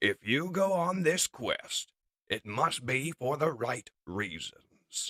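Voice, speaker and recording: A man in a put-on character voice. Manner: calm, reassuring.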